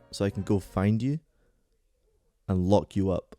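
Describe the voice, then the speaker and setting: Music plays behind a man's voice. The sound is dry and close, with no echo. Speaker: video game reviewer. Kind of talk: scripted narration.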